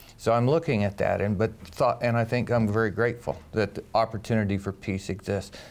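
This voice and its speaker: A man with an American accent and an unremarkable speaking voice, medium in pitch, at a moderate pace. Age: 60s. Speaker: interviewer. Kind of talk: interview.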